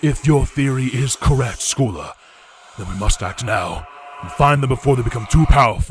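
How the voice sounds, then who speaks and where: A put-on character voice delivers the lines at a moderate speed. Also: man, medium pitch for a man. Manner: stern, authoritative.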